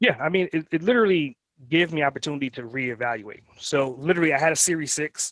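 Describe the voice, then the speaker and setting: A man with a New York accent speaks very fast at a fairly high pitch with lively intonation, in a dry, close sound with no echo. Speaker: entrepreneur. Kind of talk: interview. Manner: animated.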